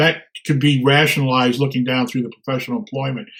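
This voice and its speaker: A man speaks here. His voice is somewhat breathy. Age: 70s. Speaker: retired operations professional and presenter. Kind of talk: webinar Q&A. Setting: webinar. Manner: halting.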